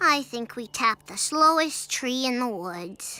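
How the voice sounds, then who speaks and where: A female-sounding cartoonish character voice is pitched high. It speaks at a fairly slow pace. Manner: bright, excitable.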